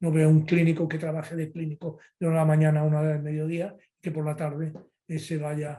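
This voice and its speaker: A man's fairly high, somewhat breathy voice with a dark, mellow tone, monotone and flat, at a fairly quick pace. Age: 70s. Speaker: physician, liver specialist. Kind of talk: interview.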